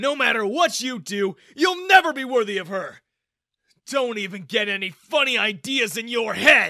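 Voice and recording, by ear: The speaker uses a put-on character voice with lively intonation. The tone is bright and sharp. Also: man, extremely high pitch for a man, moderate pace.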